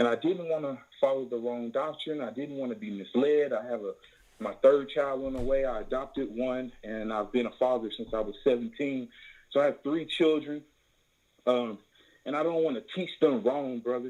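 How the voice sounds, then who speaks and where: A man with a Southern US accent speaks at a moderate pace and medium pitch, with ordinary pitch variation. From Tennessee, US South. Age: 20s. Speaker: caller. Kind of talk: call-in question on a religious broadcast.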